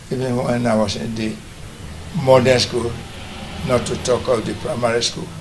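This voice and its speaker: A man's medium-pitched, fairly even voice with long, frequent pauses, amid noticeable background noise and audible room echo. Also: moderate pace. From Nigeria, Benin City, Edo State. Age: 80s+. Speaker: retired teacher, military officer and businessman. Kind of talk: TV interview. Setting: his family house.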